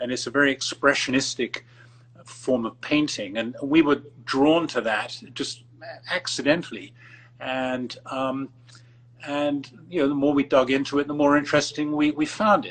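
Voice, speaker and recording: A man with an English accent speaks at a moderate pace with a fairly high pitch and fairly even intonation. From England. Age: 70s. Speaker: art collector. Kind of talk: interview. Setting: Instagram live video call. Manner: halting, many fillers.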